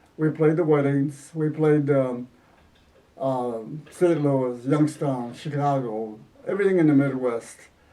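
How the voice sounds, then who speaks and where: Noticeable background noise accompanies a man with an American accent speaking at a fairly slow pace. His pitch is fairly high and his intonation fairly even. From Southwest Detroit, Michigan. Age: 80s+. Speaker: retired school principal and musician. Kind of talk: oral history interview. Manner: halting.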